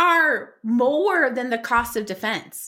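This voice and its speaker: A woman's raised, projected voice, bright and sharp in tone, at a very slow pace in a very clean recording over a silent background. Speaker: podcast co-host, employment lawyer/HR expert. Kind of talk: casual chat. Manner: giggly.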